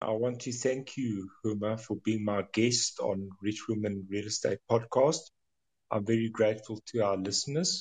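At a moderate pace, a man with medium pitch sounds somewhat breathy and shows ordinary pitch variation. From South Africa. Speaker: podcast host, magazine editor. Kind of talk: interview; scripted introduction.

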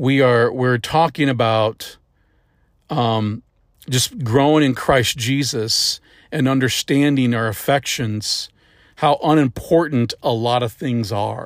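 A man's very slow delivery in a Midwestern American accent, fairly even in intonation, with a dry, close sound, no echo, and a very clean recording over a silent background. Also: medium pitch for a man. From US Midwest, St. Louis area, Missouri. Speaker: preacher. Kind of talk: sermon. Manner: halting, with frequent fillers and restarts.

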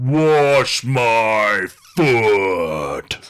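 A man's loud, booming, put-on character voice at a medium pitch. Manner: commanding, loud.

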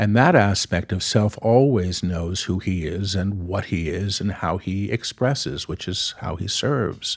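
On a very clean recording with a silent background, a man with an American accent talks in a plain, everyday voice at a fairly low pitch with ordinary pitch variation. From New York. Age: 50s. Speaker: spiritual channel and author. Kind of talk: casual chat.

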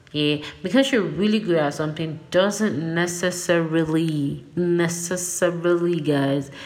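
A woman's fairly low voice against noticeable background noise. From Nigeria. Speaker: podcast host. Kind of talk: casual solo monologue. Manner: animated.

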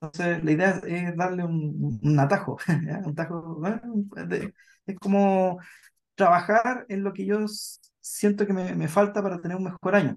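Here a man talks at a fairly slow pace. His pitch is high, and his intonation is fairly even. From southern Chile, Puerto Montt. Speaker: psychologist. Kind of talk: casual chat.

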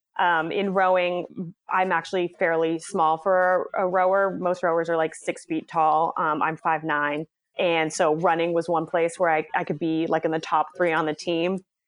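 With an American accent, a woman speaks at a moderate pace in a fairly low, flat, monotone voice at very even loudness. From Boston, Massachusetts (West Roxbury). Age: 30s. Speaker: head of communications at a running brand. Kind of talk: podcast interview.

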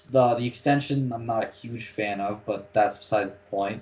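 In a Toronto accent, a man speaks at a moderate pace with medium pitch and ordinary pitch variation. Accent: Canadian (Toronto). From Canada (Toronto). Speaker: sports podcast host. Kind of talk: casual chat.

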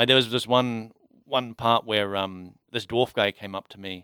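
Pitched fairly low, a man with an ordinary speaking voice talks at a moderate pace with fairly even intonation. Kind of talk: casual chat.

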